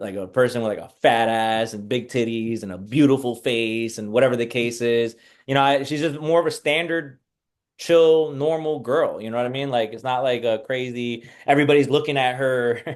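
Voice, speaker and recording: A man with a medium pitch speaks at a moderate pace. His pitch variation is ordinary, while his loudness swings widely. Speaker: mental health professional guest. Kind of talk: casual interview chat. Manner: casual, filler-heavy.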